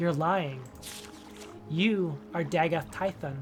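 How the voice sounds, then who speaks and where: A man's put-on character voice, fairly high-pitched at a very slow pace, over clear music in the background. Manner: through gritted teeth, seething.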